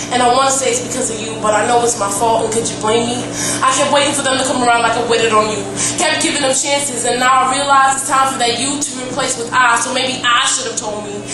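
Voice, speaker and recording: Over music in the background, the speech races very fast in a flat monotone with hardly any pauses. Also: woman, high pitch for a woman. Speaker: slam poet. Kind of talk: spoken word poetry slam performance. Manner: emotional, intense.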